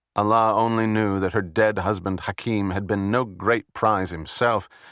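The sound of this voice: Fairly even intonation marks this unforced reading voice.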